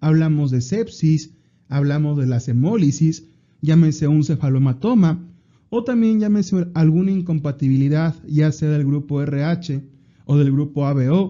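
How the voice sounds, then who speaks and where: Ordinary pitch variation and a fairly slow pace in a normal speaking voice. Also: man, fairly high pitch for a man. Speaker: medical exam prep podcast host. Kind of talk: educational lecture.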